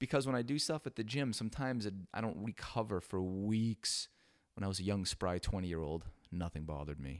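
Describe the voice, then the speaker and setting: A normal speaking voice from a man, fairly low in pitch with lively intonation, on a very clean recording with a silent background and a dry, close sound free of echo. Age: 40s. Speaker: podcast host. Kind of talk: casual monologue. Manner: casual with fillers.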